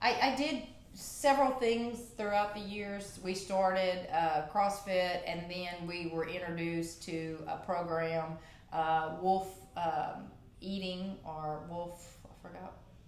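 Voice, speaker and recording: Speaking at a very slow pace, a woman with a medium pitch and ordinary pitch variation shows big swings in loudness, with audible room echo and noticeable background noise. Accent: Cajun. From Louisiana, Cajun Country. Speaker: gym member, athlete of the month. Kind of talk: casual interview. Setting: studio.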